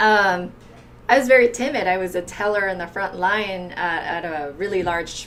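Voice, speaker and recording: A woman's fairly low voice at a moderate pace, with ordinary pitch variation and audible room echo. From outside the US. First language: not English. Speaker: entrepreneur, guest. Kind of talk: casual chat.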